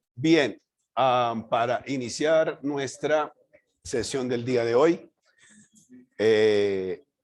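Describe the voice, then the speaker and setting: A man speaks at a very slow pace with ordinary pitch variation. He leaves long, frequent pauses. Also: medium pitch for a man. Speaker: architecture lecturer. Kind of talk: lecture.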